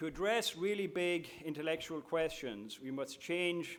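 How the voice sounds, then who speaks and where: A man speaks with an Irish accent. His pace is fairly slow and his pitch varies in an ordinary way. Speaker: university administrator. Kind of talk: opening speech. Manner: formal.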